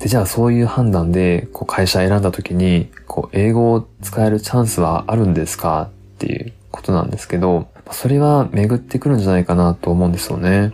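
A man with a very deep, low pitch, a relaxed tone, lively intonation and a fairly quick pace. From Japan, Tottori. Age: 30s. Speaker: English teacher and podcast host. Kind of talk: casual solo talk. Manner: relaxed, conversational.

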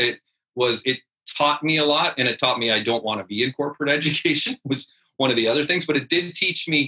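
A man with a Canadian accent has a normal speaking voice at a fairly high pitch. He talks at a fairly quick pace with very even loudness and ordinary pitch variation. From rural Canada. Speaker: head teacher. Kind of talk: interview.

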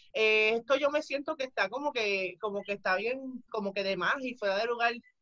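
Her tone is bright and sharp, her pace moderate. This woman's pitch varies in an ordinary way. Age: 30s. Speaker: retired pro wrestler. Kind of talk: casual interview.

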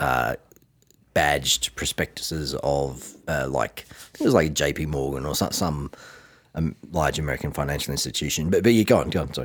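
With an Australian accent, a man speaks at a moderate pace in a very deep, low pitch, with vocal fry and ordinary pitch variation. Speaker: finance podcast co-host. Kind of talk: casual chat.

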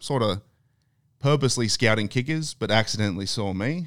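Ordinary pitch variation in an Australian accent. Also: man. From Australia (Queensland, Thursday Island). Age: 30s. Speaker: former NFL player. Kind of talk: casual chat.

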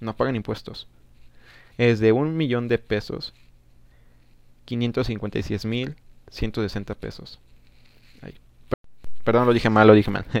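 Over a quiet background, a man talks at medium pitch with ordinary pitch variation. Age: 20s. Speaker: podcast host, recent law graduate. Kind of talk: solo political commentary. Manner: hesitant, many fillers.

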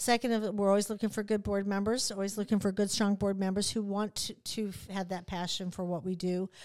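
A woman with an American accent speaks at a very fast pace and a medium pitch. The recording is very clean, with a silent background. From central Illinois, US Midwest. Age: 60s. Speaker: nonprofit CEO. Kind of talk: casual interview. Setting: studio. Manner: animated.

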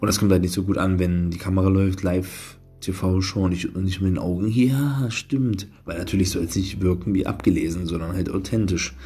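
A man's very deep, low voice, dark and mellow in tone, somewhat breathy, with ordinary pitch variation, a moderate pace and audible room echo. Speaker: podcaster and media student. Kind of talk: solo podcast monologue. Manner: calm, quieter than usual.

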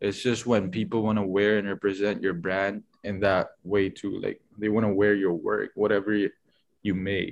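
With a Filipino accent, a man speaks at a moderate pace. His pitch is fairly low and his intonation monotone and flat. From Philippines. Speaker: fashion designer. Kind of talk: casual interview. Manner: halting, many fillers.

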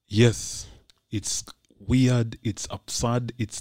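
Dry and close with no echo, a man's somewhat breathy voice moves at a very slow pace with a medium pitch. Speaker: podcast host and voice artist. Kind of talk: casual chat.

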